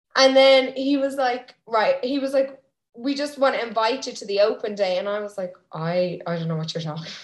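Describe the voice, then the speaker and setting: In a normal speaking voice, a woman talks at a moderate pace with fairly high pitch, lively intonation and big swings in loudness. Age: 20s. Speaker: Irish dancer and coach. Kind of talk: casual chat.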